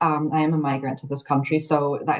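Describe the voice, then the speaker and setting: A woman speaks fairly quickly, her pitch very deep and low. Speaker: domestic abuse policy specialist. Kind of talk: podcast interview. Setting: podcast recording.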